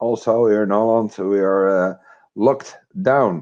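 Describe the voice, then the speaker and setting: A man with a Dutch accent speaks at a fairly slow pace. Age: 50s. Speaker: retired military, crypto investor. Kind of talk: interview. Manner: halting.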